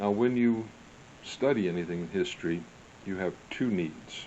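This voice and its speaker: Here is a man with an unremarkable speaking voice, at a fairly low pitch and a moderate pace. His pitch variation is ordinary. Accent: American. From US Midwest, St. Louis. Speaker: history vlogger. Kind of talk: casual monologue.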